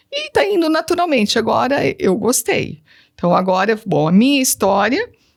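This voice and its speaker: A woman's high voice at a moderate pace, full of very wide pitch swings. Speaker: teacher and digital influencer. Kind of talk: interview testimony.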